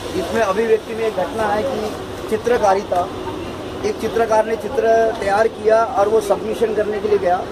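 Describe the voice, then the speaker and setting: Speaking at a high pitch, a man keeps his intonation fairly even while noticeable background noise sounds behind him. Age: 60s. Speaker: tea vendor and author. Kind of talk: interview, life story.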